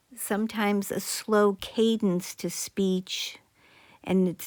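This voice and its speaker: A woman at a very slow pace with fairly even intonation, on a very clean recording with a silent background. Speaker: psychologist commentator. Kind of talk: video commentary.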